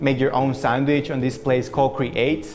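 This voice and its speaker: Music plays in the background. A man speaks at a medium pitch with a non-native accent. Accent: noticeable foreign. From abroad (international student). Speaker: student tour guide. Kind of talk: campus tour walkthrough.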